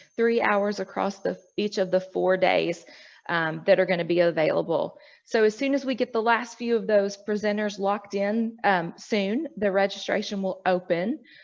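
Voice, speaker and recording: In an ordinary speaking voice, a woman delivers her words at a moderate pace with ordinary pitch variation. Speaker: educational media presenter. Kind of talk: online presentation at a professional meeting.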